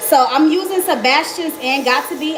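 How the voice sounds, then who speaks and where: A woman with an American accent and lively intonation, with noticeable background noise and audible room echo. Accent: slight country. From Miami, Florida. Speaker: beauty vlogger. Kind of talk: live tutorial. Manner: casual, chatty.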